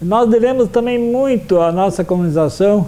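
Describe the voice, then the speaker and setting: Moderately paced speech amid noticeable background noise. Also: man. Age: 60s. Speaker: history teacher. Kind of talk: interview testimony. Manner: halting, with frequent fillers.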